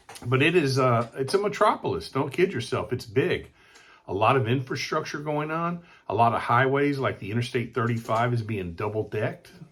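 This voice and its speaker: With an American accent, a man speaks at a medium pitch with lively intonation. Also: fairly quick pace. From Texas, San Antonio. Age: 60s. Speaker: real estate agent. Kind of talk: informal presentation.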